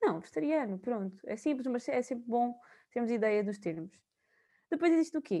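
Speaking at a fairly quick pace broken by long, frequent pauses, a woman uses a high, dark, mellow voice with very wide pitch swings. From Portugal, Viseu area. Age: 20s. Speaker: university student. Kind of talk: casual chat.

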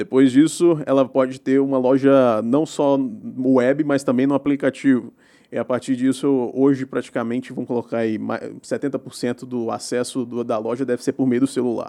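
The voice moves at a fairly slow pace with hardly any pauses, its intonation fairly even and its tone dark and mellow. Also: man, medium pitch for a man. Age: 20s. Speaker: tech entrepreneur. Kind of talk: casual interview.

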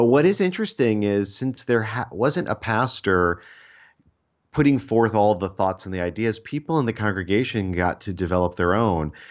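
Moderate pace and lively intonation. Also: man, fairly low pitch for a man. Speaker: playwright, actor and Bible scholar. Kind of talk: interview conversation.

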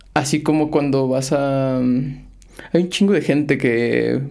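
A man speaks at a medium pitch in a dark, mellow tone. His intonation stays fairly even. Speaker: podcast host. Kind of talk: casual interview.

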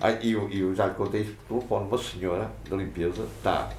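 Audible room echo surrounds a man's voice. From Portugal, Matosinhos (Leixões). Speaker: former pool caretaker. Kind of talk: interview storytelling.

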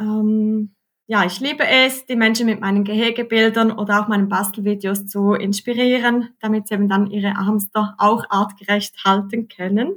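At a moderate speed, the speaker sounds somewhat breathy. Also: woman. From Switzerland. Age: 30s. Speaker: hamster keeping social media creator. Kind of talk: interview.

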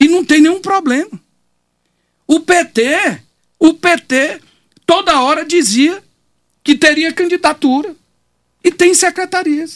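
The pace is very slow. Long pauses come frequently. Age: 60s. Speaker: city councillor. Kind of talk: radio interview. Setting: radio studio.

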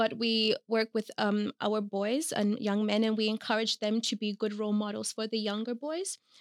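A woman uses an ordinary speaking voice at a fairly high pitch and moderate pace, the sound dry and close with no echo. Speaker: youth worker at immigrant support NGO. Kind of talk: casual interview.

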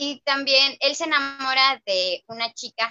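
Her pitch high, a woman speaks at a very slow pace. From Mexico, Mérida (Yucatán). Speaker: book discussion panelist. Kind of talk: casual book discussion.

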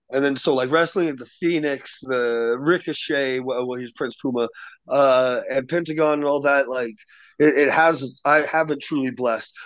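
Against a quiet background, a man talks in a plain, everyday voice at a fairly high pitch, a moderate pace and with fairly even intonation. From Washington state, US. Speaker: professional wrestler. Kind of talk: casual chat.

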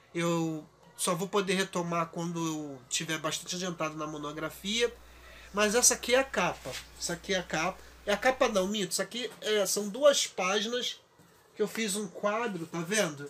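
A man's high pitch moves with ordinary pitch variation. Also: moderate pace. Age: 40s. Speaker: YouTuber and podcaster, art student. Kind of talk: casual vlog monologue. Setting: home recording. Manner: halting, with repetitions.

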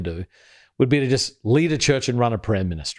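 With an Australian accent, a man speaks at a medium pitch. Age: 40s. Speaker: pastor. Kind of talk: casual chat.

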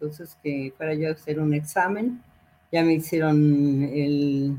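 A woman speaks at a very slow pace. Her fairly low voice has a dark, mellow tone. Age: 70s. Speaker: retired accountant and alumna. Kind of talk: interview. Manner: halting.

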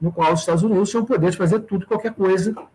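Noticeable background noise sits under a man talking with ordinary pitch variation. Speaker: university professor. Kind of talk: casual interview on a live stream. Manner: hesitant, with frequent filler and repetitions.

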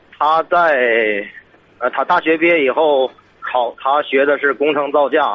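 A man talks in a normal speaking voice at a moderate pace. His pitch is fairly high and his intonation fairly even. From Hebei, Tangshan. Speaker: caller asking about sister. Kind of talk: call-in advice conversation.

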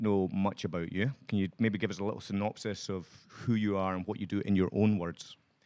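This man has a Scottish accent and a fairly low pitch. He talks at a moderate pace. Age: 30s. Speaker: podcast host. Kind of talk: casual interview. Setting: studio.

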